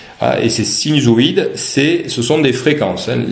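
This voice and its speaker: Male speech at a moderate speed amid audible room echo and noticeable background noise. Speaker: university lecturer. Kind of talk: lecture. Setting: online class from home. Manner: halting, many repetitions and fillers.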